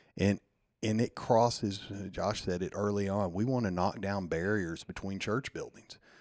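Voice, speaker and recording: Over a silent background in a very clean recording, a man with a Southern US accent speaks at a moderate pace, his fairly low voice held in fairly even intonation. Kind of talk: casual interview.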